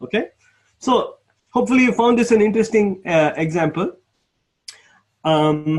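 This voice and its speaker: A man's moderate-paced speech in a high pitch, lively in intonation, with long, frequent pauses. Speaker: programming instructor. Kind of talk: lecture. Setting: live online class. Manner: halting.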